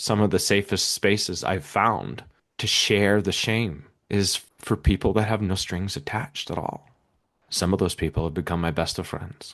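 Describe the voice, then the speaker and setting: Against a quiet background, a man has an ordinary speaking voice with fairly low pitch, ordinary pitch variation and a moderate pace. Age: 40s. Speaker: podcast guest, recovering alcoholic and podcaster. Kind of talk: interview.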